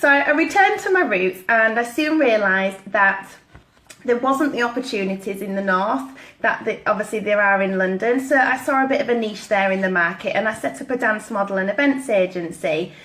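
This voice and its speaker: Lively intonation from a woman at a fairly quick pace, over noticeable background noise. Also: fairly high pitch for a woman. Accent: Yorkshire. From East Yorkshire, northern England. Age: 30s. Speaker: network marketing consultant. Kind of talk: personal story talk.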